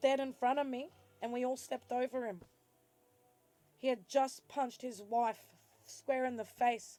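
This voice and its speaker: The speaker has an Australian accent and leaves long, frequent pauses. Music plays in the background. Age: 40s. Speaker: vlogger. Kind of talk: personal vlog monologue.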